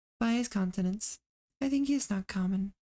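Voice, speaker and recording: A somewhat breathy woman's voice with a dark, mellow tone, medium in pitch and moderate in pace. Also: dry, close sound with no echo. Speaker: VTuber streamer. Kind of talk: reading aloud. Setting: live stream.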